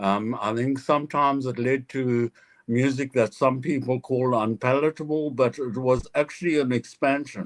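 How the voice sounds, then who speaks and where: This man talks at a moderate pace in a medium pitch, his intonation fairly even and the sound dry and close with no echo. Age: 60s. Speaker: jazz musician. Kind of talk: panel discussion. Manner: halting.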